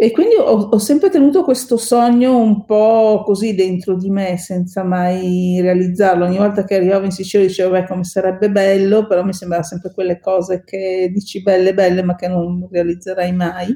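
An ordinary speaking voice talks at a moderate pace with fairly even intonation and hardly any pauses. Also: woman, medium pitch for a woman. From northern Italy, Veneto (Bassano del Grappa, Vicenza). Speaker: lawyer and open-water swimmer. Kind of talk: podcast interview.

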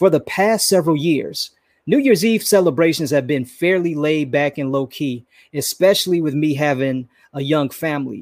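A man talks in a normal speaking voice, fairly high in pitch, with ordinary pitch variation at a moderate pace. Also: very clean recording, silent background. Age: 40s. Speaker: podcast host. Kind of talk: solo motivational talk.

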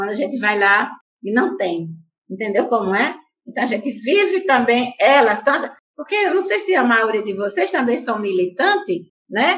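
Very wide pitch swings at a moderate pace from a woman with a high voice. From Paraíba, Brazil (Santa Rita). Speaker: activist and teacher. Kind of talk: interview.

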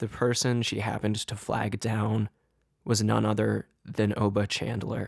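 At a fairly slow pace, a man speaks with vocal fry at a fairly low pitch, his intonation monotone and flat. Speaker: true crime podcaster. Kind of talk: true-crime narration. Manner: grave, measured storytelling; deliberate, somber, suspenseful.

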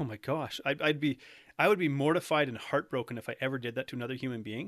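A man with a Canadian accent talks at a very fast pace, his pitch varying in an ordinary way. The sound is dry and close, with no echo. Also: very clean recording, silent background. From Canada. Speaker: nutrition coach. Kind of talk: casual interview chat.

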